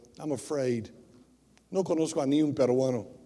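A man with an American accent speaks at a fairly quick pace. His tone is dark and mellow, with audible room echo. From US South, rural Tennessee. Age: 60s. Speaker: missionary preacher. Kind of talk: bilingual sermon, self-interpreting English and Spanish. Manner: switches between English and Spanish mid-sentence; halting, many filler sounds.

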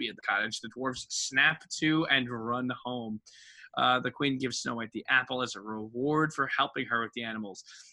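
The pitch rises and falls normally. A passage is read out in a natural voice.

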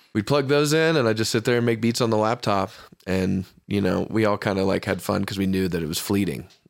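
Recorded very cleanly against a silent background, a normal speaking voice moves at a fairly quick pace with ordinary pitch variation. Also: man, fairly low pitch for a man. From US South. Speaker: electronic music producer. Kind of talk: casual chat. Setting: studio.

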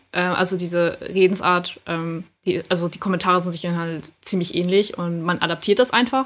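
A woman in an unremarkable speaking voice talks at a fairly low pitch and moderate pace. Her intonation is fairly even, with hardly any pauses. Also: big swings in loudness. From northern Germany, Schleswig-Holstein. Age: 20s. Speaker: amateur K-pop dancer. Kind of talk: casual chat.

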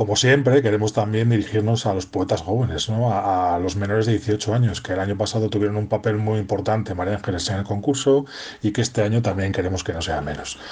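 The voice is somewhat breathy and runs at a very fast pace with hardly any pauses and fairly even intonation. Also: man, fairly low pitch for a man. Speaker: poetry contest organizer. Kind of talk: recorded voice message.

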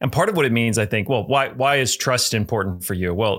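The recording is very clean, with a silent background. A man talks at medium pitch in an ordinary speaking voice. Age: 30s. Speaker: pastor and author. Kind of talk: interview.

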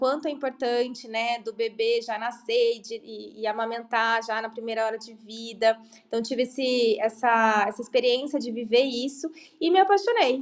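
A woman's high voice at a moderate pace. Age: 40s. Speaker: pediatric dentist. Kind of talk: podcast interview.

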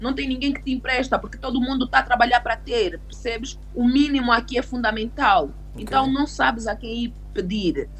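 Over noticeable background noise, a woman talks with hardly any pauses. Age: 30s. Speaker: lawyer. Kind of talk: interview on immigration law.

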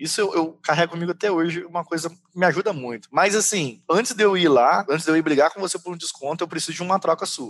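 An unremarkable speaking voice from a man, fairly high in pitch, fairly quick, with lively intonation and a dry, close sound with no echo. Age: 30s. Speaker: salesperson. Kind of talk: casual chat.

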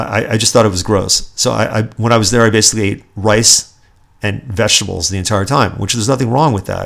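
Using an ordinary speaking voice, a man talks at a fairly quick pace and a medium pitch. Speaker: podcast host. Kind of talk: solo political commentary podcast, ranting. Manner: angry, indignant, sarcastic, worked-up; conversational, self-deprecating, chatty.

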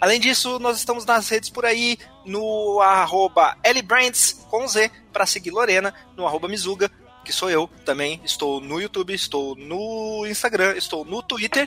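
Over background music, a man uses a raised, projected voice at a high pitch and a fairly slow pace. His pitch varies in an ordinary way, and the sound is dry and close with no echo. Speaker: podcast host and editor. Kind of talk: casual chat. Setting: online call recorded via Discord.

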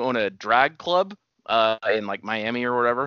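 This man's pitch swings very widely as he speaks. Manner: profane, jokey.

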